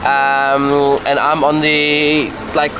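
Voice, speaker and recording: A man with a fairly high pitch speaks in a German accent over noticeable background noise. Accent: German, self-described. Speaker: fishing video host. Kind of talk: casual on-location fishing chat.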